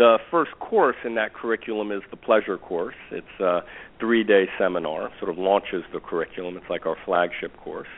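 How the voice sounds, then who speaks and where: A man with an American accent, fairly low in pitch, at a moderate pace, with big swings in loudness. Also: ordinary pitch variation. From New York. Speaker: relationship teacher. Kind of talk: interview. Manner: halting.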